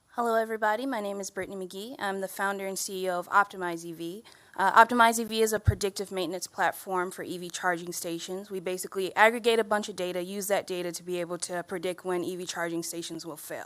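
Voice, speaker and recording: A woman with a Detroit accent speaks at a very fast pace with hardly any pauses. Her medium pitch holds fairly even intonation, though her loudness swings widely. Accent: Detroit American English. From Detroit, Michigan. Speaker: tech startup founder. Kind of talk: panel introduction at community event.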